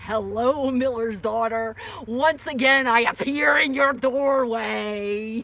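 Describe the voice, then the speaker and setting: A put-on character voice, fairly high in pitch, at a fairly slow pace over light background noise. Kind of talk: comic family stage play. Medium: stage play. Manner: cackling, sly.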